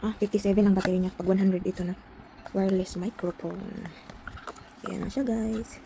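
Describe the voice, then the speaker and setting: Long, frequent pauses break up a woman's fairly quick speech, her intonation flat and monotone. Noticeable background noise is present. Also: medium pitch for a woman. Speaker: small YouTuber, unboxing products. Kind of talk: casual unboxing vlog.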